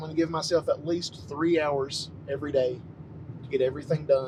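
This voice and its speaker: Over noticeable background noise, a man speaks at a moderate pace. His pitch is fairly high. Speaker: vlogger. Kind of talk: casual monologue vlog.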